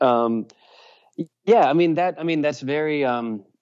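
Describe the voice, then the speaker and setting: This is an ordinary speaking voice from a man with an American accent. He talks at a moderate pace with ordinary pitch variation. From Virginia. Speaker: musician, singer and guitarist. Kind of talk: casual interview chat.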